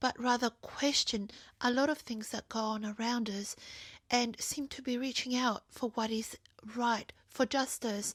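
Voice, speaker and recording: A woman speaks at a fairly slow pace with a high pitch and fairly even intonation. The sound is dry and close with no echo, on a very clean recording with a silent background. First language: not English (bilingual). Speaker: video journal vlogger. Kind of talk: personal monologue.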